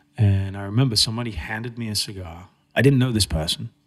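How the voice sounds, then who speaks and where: A man speaks at a moderate pace with a fairly low, somewhat breathy voice and ordinary pitch variation. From England, Cambridge. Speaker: trade show and magazine managing director. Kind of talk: casual interview chat.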